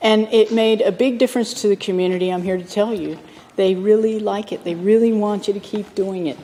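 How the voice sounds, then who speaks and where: Over noticeable background noise, a woman speaks at a fairly quick pace with fairly even intonation. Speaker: state politician. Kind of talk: valedictory speech in parliament. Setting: parliament chamber. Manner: conversational, many fillers.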